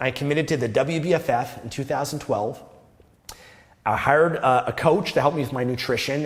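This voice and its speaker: Somewhat breathy, a man with a Canadian accent speaks fairly quickly at a fairly high pitch. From Canada. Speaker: self-improvement youtuber. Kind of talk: casual monologue to camera. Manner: modulated, wide vocal range.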